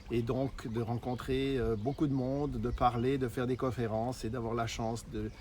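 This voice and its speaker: A man talks with a Swiss accent. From Switzerland. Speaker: network marketer. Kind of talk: sales pitch. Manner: halting, frequent hesitations.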